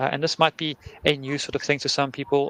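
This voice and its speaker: A man with a South African accent. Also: dry, close sound with no echo. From South Africa, Cape Town. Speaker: conference speaker, head of engineering. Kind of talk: conference talk.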